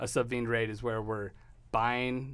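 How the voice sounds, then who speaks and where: A man with an American accent speaks at a fairly low pitch. Audible room echo surrounds his voice. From Texas. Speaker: car dealership owner. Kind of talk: interview.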